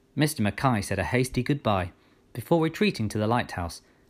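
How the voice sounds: Lively intonation in a natural reading voice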